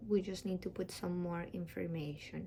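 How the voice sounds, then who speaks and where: A woman's somewhat breathy, medium-pitched voice with a dark, mellow tone, ordinary pitch variation, a Spanish accent and a moderate pace. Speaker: dentist giving application tutorial. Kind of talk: tutorial. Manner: casual, with many fillers.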